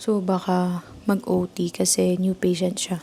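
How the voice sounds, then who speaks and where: Quiet and very slow, a woman speaks at a medium pitch with a dark, mellow tone. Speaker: vlogger, works with patients. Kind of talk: casual vlog. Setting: at work clinic. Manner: quiet, lowered voice.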